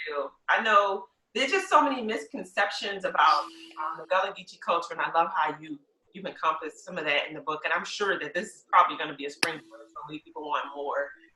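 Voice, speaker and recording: A woman in a Lowcountry accent at a very fast pace, fairly low in pitch with ordinary pitch variation and big swings in loudness. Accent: US Southern, Lowcountry. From South Carolina Lowcountry. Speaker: podcast host and realtor. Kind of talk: podcast interview. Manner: enthusiastic.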